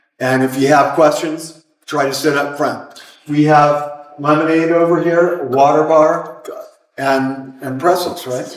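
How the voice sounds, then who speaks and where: Over audible room echo, a man with a fairly high pitch talks at a fairly slow pace in a monotone, flat intonation. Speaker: forum organizer. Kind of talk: audience announcements. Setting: public forum with audience. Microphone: speaking without microphone.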